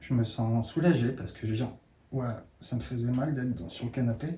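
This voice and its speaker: A dark, mellow tone, somewhat breathy, with lively intonation. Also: man. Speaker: workshop participant. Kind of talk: sharing circle. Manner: halting.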